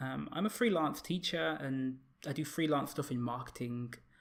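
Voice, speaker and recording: A man with a British accent, medium pitch, ordinary pitch variation and a moderate pace. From UK. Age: 30s. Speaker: fitness content creator. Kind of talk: casual chat. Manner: halting, many fillers.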